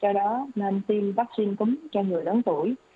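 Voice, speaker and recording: A woman speaks at a moderate pace with a medium pitch. Noticeable background noise runs underneath. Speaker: doctor. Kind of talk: expert health advice answering questions on radio. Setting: radio studio broadcast.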